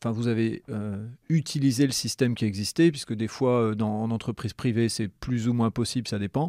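Recorded dry and close with no echo on a very clean recording with a silent background, a man talks at a medium pitch and moderate pace in a dark, mellow tone with ordinary pitch variation. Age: 40s. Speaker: podcast host. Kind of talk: casual interview.

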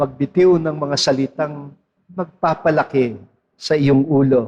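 A man at a very slow pace, with fairly even intonation. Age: 60s. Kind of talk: sermon.

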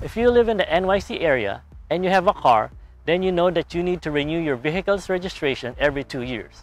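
Faint music plays in the background as a man speaks at a fairly quick pace. The sound is dry with no echo. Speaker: how-to channel host. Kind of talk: tutorial. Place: street. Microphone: lapel.

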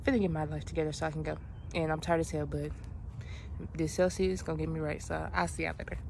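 A woman's low-pitched voice with vocal fry and a monotone, flat intonation

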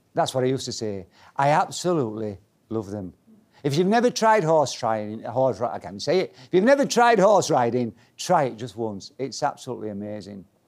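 In a Yorkshire accent, a man talks at a fairly quick pace with very wide pitch swings and big swings in loudness. The background is quiet. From Leeds, Yorkshire. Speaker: motivational speaker. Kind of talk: keynote talk. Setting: stage with audience. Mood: humorous storytelling. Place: meeting room.

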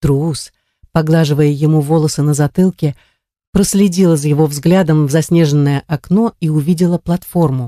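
A woman with a very deep, low voice speaks at a moderate pace in a calm tone, her dark, mellow sound kept at a very even loudness with fairly even intonation, dry and close with no echo. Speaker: audiobook narrator. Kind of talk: literary audiobook reading, narrating a historical novel. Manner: measured, even storytelling pace with a calm, vivid delivery.

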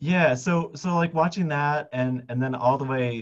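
An ordinary speaking voice moves at a moderate pace with ordinary pitch variation. The background is quiet. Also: man. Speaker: biologist and science filmmaker. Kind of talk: interview conversation. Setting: video call. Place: office. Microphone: headset.

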